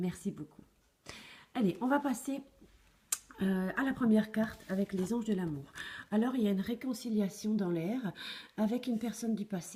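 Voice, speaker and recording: A woman speaks at a moderate pace and fairly high pitch, her tone dark and mellow and somewhat breathy. Her pitch varies in an ordinary way, and she leaves long, frequent pauses. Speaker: tarot card reader. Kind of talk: tarot reading to camera. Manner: hesitant, many fillers.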